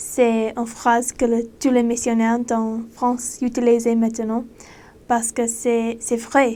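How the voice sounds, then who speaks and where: Very slow, monotone speech from a woman with a non-native accent and a fairly high pitch. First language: not French (speaking French). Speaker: former missionary. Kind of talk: casual monologue. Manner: halting.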